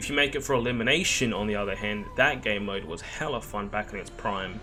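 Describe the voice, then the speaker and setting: With music playing in the background, a man with an Australian accent speaks at a moderate pace. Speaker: gaming streamer. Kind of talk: casual discussion to camera.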